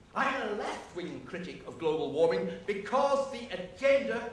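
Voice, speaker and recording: A man with a British accent speaks in a passionate tone with lively intonation, amid noticeable background noise and audible room echo. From UK. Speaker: professor. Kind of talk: debate speech. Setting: stage with audience.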